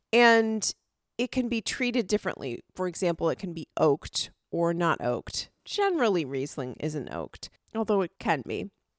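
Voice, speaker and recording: Recorded very cleanly against a silent background, a woman speaks at a moderate pace and a medium pitch, her enthusiastic tone marked by very wide pitch swings and a dry, close sound with no echo. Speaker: wine podcast co-host. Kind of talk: casual chat.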